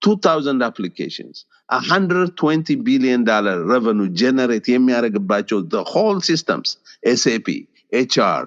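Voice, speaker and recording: In an Ethiopian accent, a man at medium pitch speaks at a moderate pace with very wide pitch swings, recorded dry and close with no echo. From Ethiopia (Gondar). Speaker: tech executive. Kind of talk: interview, personal story. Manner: loud.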